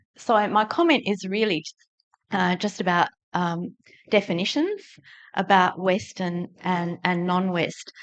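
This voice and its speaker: Long, frequent pauses break up this woman's fairly slow speech. She has a medium pitch, fairly even intonation and an Australian accent. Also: quiet background. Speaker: audience member. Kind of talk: audience question. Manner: halting.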